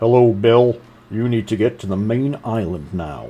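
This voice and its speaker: A man puts on a character voice and delivers it at a moderate pace. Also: medium pitch for a man. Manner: welcoming, polite.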